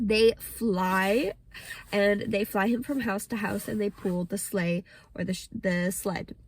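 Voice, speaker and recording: A somewhat breathy woman with an American accent, medium pitch and a fairly slow pace. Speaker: English teacher. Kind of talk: pronunciation lesson to camera.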